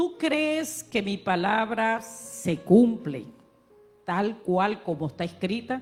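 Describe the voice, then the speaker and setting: Against music in the background, a woman speaks at a very slow pace, her medium pitch moving in very wide swings. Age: 60s. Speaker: pastor. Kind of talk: sermon.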